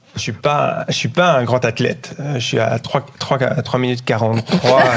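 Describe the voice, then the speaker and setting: Fairly slow speech from a man, with noticeable background noise behind it. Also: medium pitch for a man, ordinary pitch variation. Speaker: public health lecturer, former nurse. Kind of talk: interview. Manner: holding back volume.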